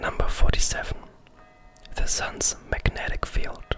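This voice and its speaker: The speaker whispers. Noticeable background noise is present. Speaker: ASMR creator. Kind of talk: ASMR fact narration. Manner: whispered.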